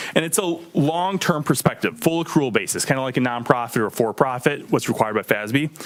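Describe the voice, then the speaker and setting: A man with a medium-pitched voice speaks fairly quickly and with lively intonation, while noticeable background noise fills the recording. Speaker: auditor presenting to town board. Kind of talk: financial report presentation. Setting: township board meeting. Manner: fast; frequent filler ums.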